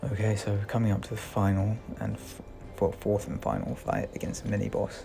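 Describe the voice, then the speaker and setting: A man with a British accent, fairly low in pitch, fairly quick in pace, fairly even in intonation. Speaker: gaming commentator. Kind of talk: gameplay commentary. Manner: casual, with fillers.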